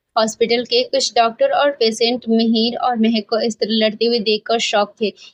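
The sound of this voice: Just an unforced reading voice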